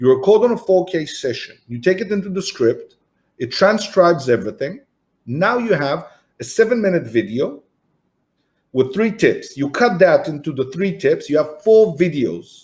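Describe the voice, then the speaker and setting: Speaking with an Israeli accent at a moderate pace, a man with a high pitch makes very wide pitch swings. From Israel, Tel Aviv. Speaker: entrepreneur and marketing agency founder. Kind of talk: podcast interview. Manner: animated.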